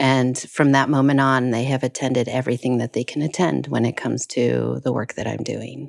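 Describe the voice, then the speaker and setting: With hardly any pauses, a woman with an American accent talks at a fairly quick pace in a very deep, low voice with vocal fry and fairly even intonation. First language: Spanish (lost in childhood). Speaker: international adoptee. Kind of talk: interview testimony.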